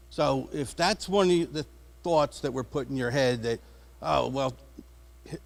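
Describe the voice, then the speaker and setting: A man speaks with an American accent in a plain, everyday voice, fairly high-pitched for a man. His pace is moderate and his pitch variation ordinary. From New Jersey. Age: 60s. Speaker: school bus driver. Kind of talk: public comment at board meeting. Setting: public meeting with audience.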